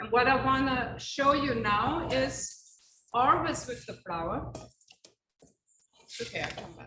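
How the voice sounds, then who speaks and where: A woman with a non-native accent and a high pitch speaks at a very slow pace, with long, frequent pauses. Her intonation is lively, her loudness swings widely, and the room echo is audible. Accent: foreign accent, noticeable. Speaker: chef. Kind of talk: cooking demonstration. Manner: chatty, anecdotal.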